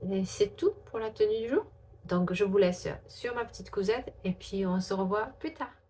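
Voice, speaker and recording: Background noise is noticeable throughout. The speaker is a woman. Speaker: sewing vlogger. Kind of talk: casual vlog.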